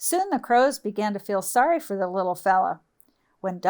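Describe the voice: Plain reading aloud with lively intonation and a quiet background.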